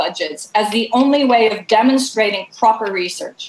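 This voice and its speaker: A woman speaks fairly quickly amid noticeable background noise. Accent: American. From US West Coast, California. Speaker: climate think tank leader. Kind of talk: panel discussion. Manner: animated.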